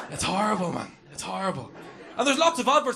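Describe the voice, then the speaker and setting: Talking at a very fast pace with very wide pitch swings, a man is heard amid noticeable background noise and audible room echo. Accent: Northern Irish. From Northern Ireland. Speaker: comedian. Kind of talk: stand-up. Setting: stage with audience.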